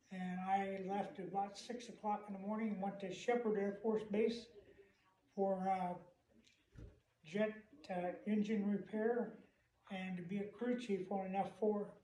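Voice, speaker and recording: A man speaks at a high pitch, fairly slowly and in a flat monotone. Long, frequent pauses break up his speech, and the room echo is audible. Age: 70s. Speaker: war veteran. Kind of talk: interview. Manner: halting.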